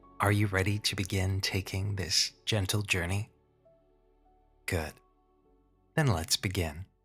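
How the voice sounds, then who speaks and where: A man speaks at a very even loudness over music in the background. His intonation is fairly even, with long, frequent pauses. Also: fairly low pitch for a man. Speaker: hypnotherapist. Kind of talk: guided hypnosis imagery. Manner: slow, soft-spoken.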